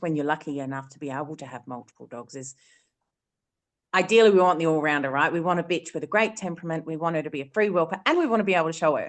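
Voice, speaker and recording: With an Australian accent, a woman talks at a very fast pace with lively intonation against a quiet background. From South Australia. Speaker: dog breeder. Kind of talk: panel discussion.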